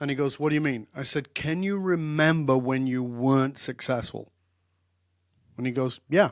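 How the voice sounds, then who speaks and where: A plain, everyday voice: a man with fairly high pitch, ordinary pitch variation and a moderate pace, on a very clean recording with a silent background. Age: 60s. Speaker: leadership coach and therapist. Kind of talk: interview conversation.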